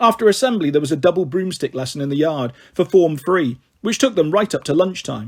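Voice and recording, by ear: A man's fairly high-pitched voice, fairly quick in pace, with lively intonation.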